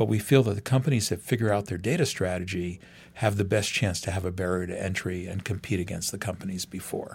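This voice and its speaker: On a very clean recording with a silent background, a man talks very fast in a fairly low, somewhat breathy voice with ordinary pitch variation. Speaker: venture capitalist. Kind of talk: interview.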